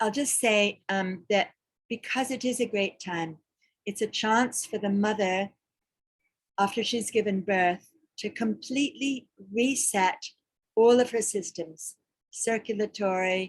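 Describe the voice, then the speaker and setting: A woman speaks in a somewhat breathy voice at a fairly slow pace. Long, frequent pauses break up her speech. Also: fairly high pitch for a woman, ordinary pitch variation. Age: 60s. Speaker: ayurveda doula. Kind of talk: webinar Q&A talk. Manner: halting.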